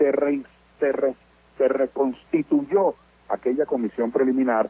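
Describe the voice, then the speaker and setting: A man with a plain, everyday voice speaks at a moderate pace, at medium pitch with ordinary pitch variation. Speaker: politician interviewed on radio. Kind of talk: radio interview answer, political commentary. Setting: phone line.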